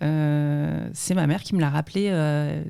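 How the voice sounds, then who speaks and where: The voice is a woman's, dark and mellow, with ordinary pitch variation. It is recorded very cleanly against a silent background. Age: 40s. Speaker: entrepreneur, former banker. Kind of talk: interview podcast. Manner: hesitant, many fillers.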